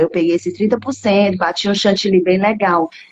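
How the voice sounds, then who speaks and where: A soft-spoken woman talks in an animated tone. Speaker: home baker starting a cake business. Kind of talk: casual chat. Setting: live video call. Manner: speaking softly.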